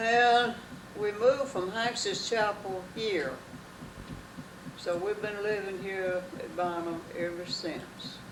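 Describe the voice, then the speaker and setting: In a Southern US accent, a woman speaks at a very slow pace with long, frequent pauses and ordinary pitch variation, amid noticeable background noise and audible room echo. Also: medium pitch for a woman. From North Carolina. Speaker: longtime resident. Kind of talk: interview.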